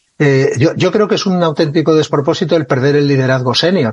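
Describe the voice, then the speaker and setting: A man's fairly high, somewhat breathy voice moves at a fairly quick pace with ordinary pitch variation. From Catalonia, Spain (Lleida). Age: 60s. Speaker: retired army officer and author. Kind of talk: interview conversation.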